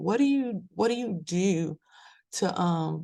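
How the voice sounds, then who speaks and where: A woman speaks with a dark, mellow tone at a fairly low pitch, her intonation lively. The background is quiet. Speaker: podcast host. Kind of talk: motivational podcast talk. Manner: casual, conversational.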